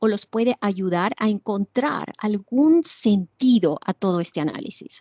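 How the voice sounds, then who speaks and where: Recorded dry and close with no echo, a woman speaks at a very slow pace with very wide pitch swings. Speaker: literature professor giving webinar lecture. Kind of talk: lecture. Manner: hesitant, many fillers.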